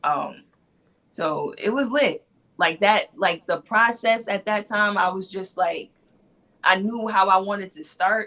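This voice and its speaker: A woman with a bright, sharp tone speaks at a fairly slow pace and a medium pitch, with ordinary pitch variation. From New York. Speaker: battle rapper. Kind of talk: casual interview. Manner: soft-spoken.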